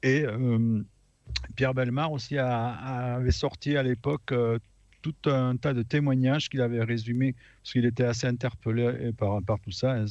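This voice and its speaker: Against a quiet background, a man talks at a moderate pace in a plain, everyday voice, medium in pitch, with fairly even intonation. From France, Aveyron. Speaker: radio panelist. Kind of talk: casual chat.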